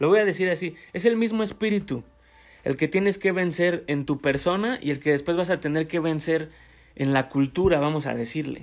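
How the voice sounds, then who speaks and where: Speaking with a Mexican accent, a man uses a fairly high pitch. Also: ordinary pitch variation, moderate pace, very clean recording, silent background. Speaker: podcaster. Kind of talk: casual monologue. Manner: halting.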